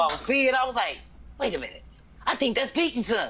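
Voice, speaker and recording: An animated tone at a very fast pace. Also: woman. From St. Louis, US Midwest. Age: 50s. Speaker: comedian. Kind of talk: casual chat.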